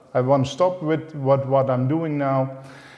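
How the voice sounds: A man at medium pitch, fairly slow pace and fairly even intonation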